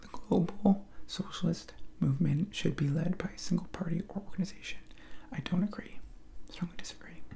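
Over light background noise, a man talks at a fairly quick pace. His pitch is high, with ordinary variation. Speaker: video creator taking a political quiz. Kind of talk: casual vlog chat. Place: home room. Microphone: headset.

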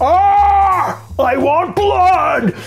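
Over background music, someone shouts in a put-on character voice. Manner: enraged, authoritative shout.

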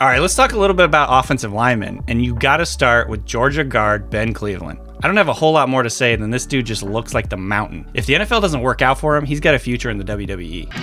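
A voice rushes along very fast with hardly any pauses over faint background music. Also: man. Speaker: football analyst. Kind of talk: sports analysis talk to camera.

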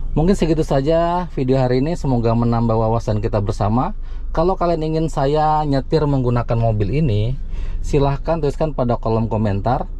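A fairly quick pace in a dry sound with no echo. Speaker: car channel host. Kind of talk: tutorial. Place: car.

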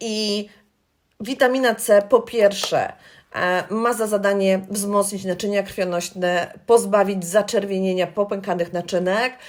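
This is a woman with an unremarkable speaking voice and medium pitch. She talks at a fairly slow pace with fairly even intonation. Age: 40s. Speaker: beauty consultant. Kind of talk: tutorial. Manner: friendly, conversational.

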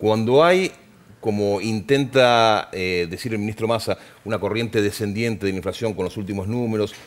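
Speaking at a moderate pace with ordinary pitch variation, this is a plain, everyday voice. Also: man, fairly low pitch for a man. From Argentina. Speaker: TV news anchor. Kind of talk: news interview. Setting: TV studio. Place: studio. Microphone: headset.

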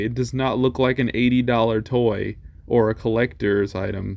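Ordinary pitch variation runs through this man's fairly slow speech. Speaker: toy collector vlogger. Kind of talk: casual vlog commentary. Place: shop. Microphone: phone near.

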